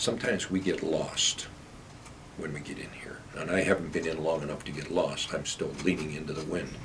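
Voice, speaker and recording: A man's very deep, low voice with an American accent, fairly even intonation, a fairly quick pace, big swings in loudness, and audible room echo. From Pennsylvania. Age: 70s. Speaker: mayor. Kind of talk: casual interview.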